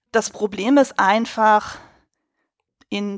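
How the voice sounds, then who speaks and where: A woman's ordinary speaking voice, fairly high in pitch, with fairly even intonation, in a very clean recording over a silent background. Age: 30s. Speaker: costume designer and film podcaster. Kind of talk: casual chat.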